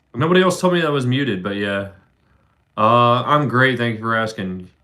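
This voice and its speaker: Here a man speaks with an American accent. His voice is at a medium pitch. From Philadelphia, Pennsylvania, US. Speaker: livestreamer, factory worker. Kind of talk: casual livestream chat. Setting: livestream on camera. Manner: fast.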